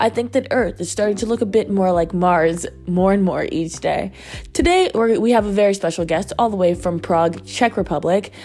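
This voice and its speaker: A woman speaks in a Virginia accent. Her pace is moderate. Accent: Virginia American. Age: 20s. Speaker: podcast host. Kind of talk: casual interview; podcast intro.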